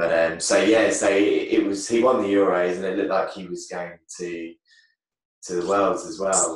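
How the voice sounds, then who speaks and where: With a fairly low pitch and fairly even intonation, a man speaks in big swings of loudness, with audible room echo against a quiet background. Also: moderate pace. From England. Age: 30s. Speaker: taekwondo champion; podcast guest. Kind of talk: casual chat.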